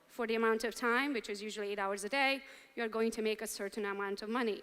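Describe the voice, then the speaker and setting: Very cleanly recorded against a silent background, a woman with a Romanian accent speaks at a fairly quick pace and a fairly high pitch. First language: Romanian or Hungarian. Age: 40s. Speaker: real estate entrepreneur, motivational speaker. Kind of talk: keynote speech to a live audience. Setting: stage with audience.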